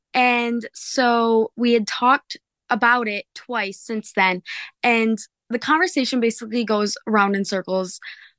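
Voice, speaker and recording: A woman with an ordinary speaking voice talks at a fairly slow pace, fairly high in pitch with ordinary pitch variation. The background is quiet, and the sound is dry and close with no echo. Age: 20s. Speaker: caller. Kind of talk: personal story.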